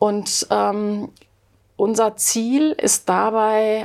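Medium-pitched speech from a woman on a very clean recording with a silent background. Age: 50s. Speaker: sociology professor. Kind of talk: interview. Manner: hesitant, many fillers.

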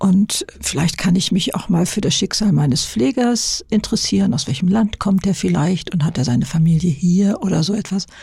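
Against noticeable background noise, a woman of medium pitch talks at a moderate pace with lively intonation, very even loudness and hardly any pauses. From Lower Saxony, northern Germany. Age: 70s. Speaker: YouTuber and author. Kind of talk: interview. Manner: halting.

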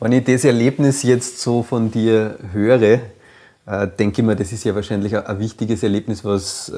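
With an Upper Austrian accent, a man talks in a fairly low pitch and fairly even intonation. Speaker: podcast host. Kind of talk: interview conversation.

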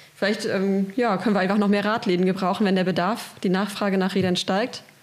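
Over noticeable background noise, a woman with a medium pitch talks fairly quickly. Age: 30s. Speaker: cargo bike project coordinator. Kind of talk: interview. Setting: studio.

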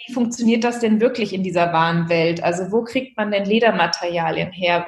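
Somewhat breathy and fairly high-pitched, a woman talks at a moderate pace with fairly even intonation. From Germany, Hesse (Marburg). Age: 30s. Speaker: handbag designer and entrepreneur. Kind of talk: interview.

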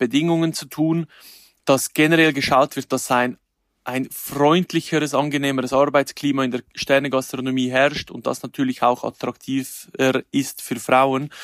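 Recorded dry and close with no echo, a man speaks at a moderate pace with fairly high pitch and monotone, flat intonation. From Switzerland, canton Glarus. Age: 30s. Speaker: chef and influencer. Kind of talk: interview.

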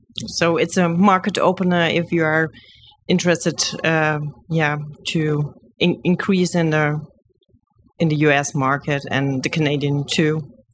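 Speaking in a German accent with a very deep, low pitch, the woman takes long, frequent pauses at a fairly slow pace, keeping her loudness very even and her intonation fairly even. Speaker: podcast host. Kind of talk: interview. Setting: content creator box at a trade fair.

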